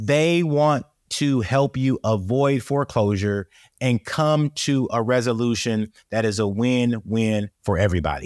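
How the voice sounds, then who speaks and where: At a fairly slow pace, a man with a medium pitch and a normal speaking voice talks with ordinary pitch variation and very even loudness, the very clean recording having a silent background and a dry, close sound with no echo. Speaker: podcast host. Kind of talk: casual interview.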